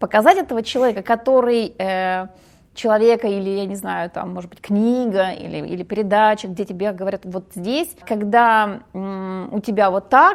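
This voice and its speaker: On a very clean recording with a silent background, a woman speaks at a moderate pace and a medium pitch. Her loudness swings widely, and her pitch varies in an ordinary way. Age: 40s. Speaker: women's psychology speaker. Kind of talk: podcast interview. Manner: halting.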